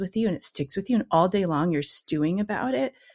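Somewhat breathy and at medium pitch, a woman speaks at a very fast pace in a dry, close sound with no echo. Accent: American. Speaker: poet and writer. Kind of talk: casual interview chat.

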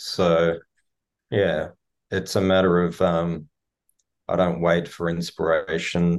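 A man with an Australian accent speaks at a very slow pace in a very deep, low voice, pausing long and often. His intonation is flat and monotone against a quiet background. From Melbourne, Australia. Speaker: singer-songwriter. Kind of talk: interview. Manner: thoughtful, hesitant with fillers.

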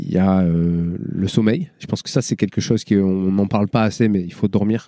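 Dark, mellow tone at a moderate pace, with hardly any pauses and ordinary pitch variation. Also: man, fairly low pitch for a man. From Marseille, France (northern districts). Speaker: athlete and coach. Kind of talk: casual interview.

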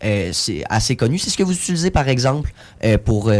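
Speaking in a Quebec accent, a man makes very wide pitch swings. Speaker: tech entrepreneur. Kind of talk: interview.

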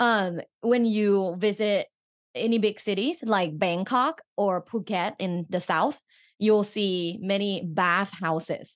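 A woman speaks at a very slow pace with a medium pitch. Her pitch variation is ordinary over a quiet background. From Thailand. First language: Thai. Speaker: sex educator and researcher. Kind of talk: casual interview chat.

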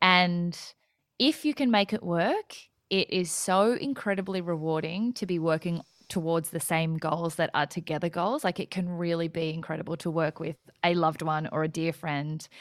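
An Australian accent at a moderate pace with ordinary pitch variation, in a very clean recording with a silent background. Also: woman, fairly low pitch for a woman. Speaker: entrepreneur and podcaster, former lawyer. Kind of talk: casual interview chat. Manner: bubbly.

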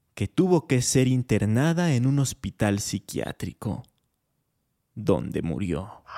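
A man speaks at a very slow pace in a dark, mellow tone. The sound is dry and close with no echo, a very clean recording with a silent background. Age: 20s. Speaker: podcast host. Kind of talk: storytelling narration; casual monologue.

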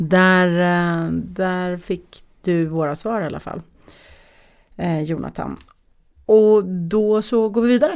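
On a very clean recording with a silent background, a woman talks at a very slow pace with long, frequent pauses. Her medium pitch shows ordinary variation. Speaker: podcast host. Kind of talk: casual chat. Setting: studio.

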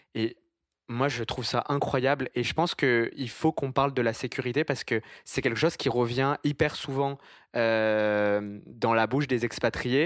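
A man with an unremarkable speaking voice talks fairly slowly at a medium pitch, his intonation fairly even. The recording is very clean with a silent background and a dry, close sound with no echo. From France, Italian family. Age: 20s. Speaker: podcast host. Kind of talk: casual interview.

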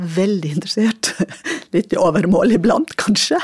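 This woman talks at a fairly slow pace with ordinary pitch variation. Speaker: former school district director. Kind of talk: interview.

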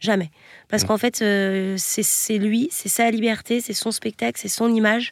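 A woman speaks at medium pitch with fairly even intonation. The sound is dry and close with no echo, on a very clean recording with a silent background. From western France, Nantes area. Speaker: tour manager for comedy shows. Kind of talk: interview. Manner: hesitant.

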